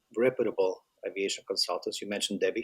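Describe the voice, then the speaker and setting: A man speaks in a dry, close sound with no echo. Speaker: flight school broker. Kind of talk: interview. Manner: soft-spoken. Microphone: too quiet.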